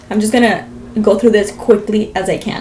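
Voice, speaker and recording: A woman speaks with an American accent at a fairly quick pace. Her pitch is fairly high, and background noise is noticeable. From Las Vegas, US. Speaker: vlogger. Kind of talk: storytelling vlog.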